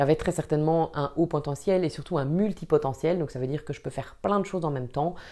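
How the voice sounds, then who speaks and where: Quick-ish and dark, mellow in tone, the voice carries a Belgian accent with fairly even intonation at a fairly quick pace. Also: woman. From Belgium, Wallonia. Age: 30s. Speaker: vlogger and trainer. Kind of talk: personal introduction vlog. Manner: hesitant, many filler sounds.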